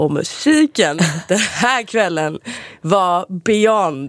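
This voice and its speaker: With no echo at all, the sound of this woman is dry and close. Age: 20s. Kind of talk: casual chat.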